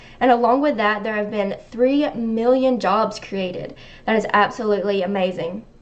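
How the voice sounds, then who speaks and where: In a Southern accent, a woman talks in a fairly high voice with ordinary pitch variation. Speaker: online news show host. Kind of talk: live stream commentary.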